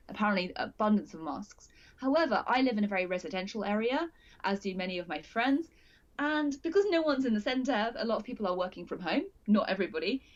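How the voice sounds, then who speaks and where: Loud and very fast, a woman speaks with a British accent. Her pitch sits fairly high and swings very widely. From UK. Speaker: multimedia journalist. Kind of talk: casual interview chat. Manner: halting, self-correcting.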